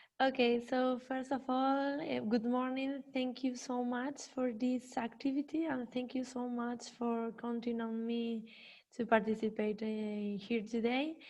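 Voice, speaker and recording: A woman's high-pitched voice in a Spanish accent, fairly slow, with monotone, flat intonation. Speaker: criminologist and professor. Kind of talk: conference presentation. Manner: halting.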